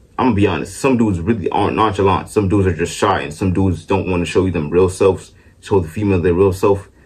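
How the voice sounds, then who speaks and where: Very deep and low, a man's somewhat breathy voice moves at a very fast pace with ordinary pitch variation. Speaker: vlogger. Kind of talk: casual rant to camera. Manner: halting, self-described stuttering; animated.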